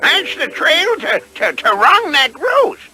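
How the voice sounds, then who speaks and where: This cartoonish character voice is extremely high and swings very widely in pitch. It moves at a fairly slow pace. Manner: stammering, folksy.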